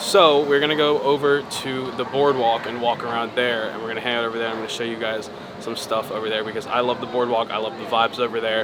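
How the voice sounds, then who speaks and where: A man's medium-pitched voice at a very fast pace with hardly any pauses, fairly even intonation and noticeable background noise. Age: 20s. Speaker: vlogger. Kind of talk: casual vlog narration. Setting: indoors at a resort lobby. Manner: loud; quieter.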